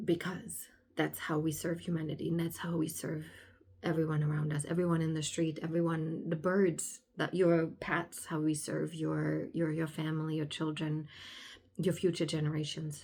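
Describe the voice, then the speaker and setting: A woman at a moderate pace, very deep and low in pitch, with monotone, flat intonation. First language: German. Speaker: spiritual alignment coach, podcaster. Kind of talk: casual monologue podcast. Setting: indoors by a sunny window. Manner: halting, with fillers.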